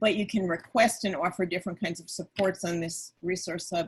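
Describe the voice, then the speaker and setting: The pitch moves in an ordinary way. The voice is somewhat breathy. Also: woman. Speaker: panelist. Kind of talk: webinar presentation.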